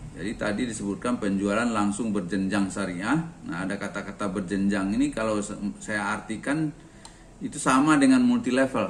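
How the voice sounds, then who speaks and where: A man with a plain, everyday voice talks at a moderate pace, his pitch varying in an ordinary way. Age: 60s. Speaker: retiree and organic fertilizer sales agent. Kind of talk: talk sharing personal experience. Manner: conversational with frequent fillers.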